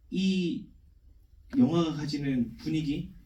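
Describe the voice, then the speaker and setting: At a very slow pace, a man talks in a fairly high pitch with a dark, mellow tone, and audible room echo surrounds him. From South Korea, Daegu. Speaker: film director. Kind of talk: Q&A answer at film screening. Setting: cinema stage with audience.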